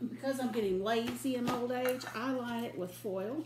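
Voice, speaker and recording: A woman's fairly slow speech, showing ordinary pitch variation, comes over noticeable background noise. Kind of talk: casual cooking tutorial. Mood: relaxed, chatty. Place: kitchen. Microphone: phone near.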